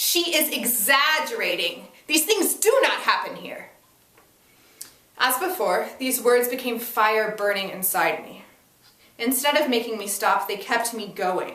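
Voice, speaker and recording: A woman speaks at a fairly slow pace in a high voice with lively intonation, and noticeable background noise sits behind her. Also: big swings in loudness. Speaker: actor. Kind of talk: dramatic reading of a first-person monologue.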